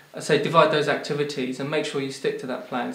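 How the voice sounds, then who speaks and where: A man talks at a very fast pace, with audible room echo in the recording. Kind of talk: interview answer. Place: home room.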